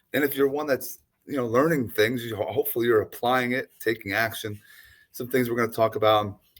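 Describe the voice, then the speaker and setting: He has an ordinary speaking voice, a man at medium pitch. His pace is fairly quick, and his intonation stays fairly even. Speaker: podcast host. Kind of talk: podcast interview talk.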